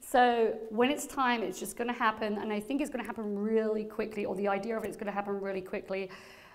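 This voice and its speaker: Audible room echo surrounds a woman speaking at a very fast pace with hardly any pauses. Her voice is fairly high-pitched. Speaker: psychic medium. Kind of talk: live gallery reading. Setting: stage with audience. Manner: animated.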